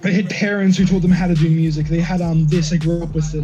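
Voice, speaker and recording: Talking very fast in a high voice with an animated tone, a man is heard over background music in a room with audible echo. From Australia. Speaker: musician. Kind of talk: casual chat.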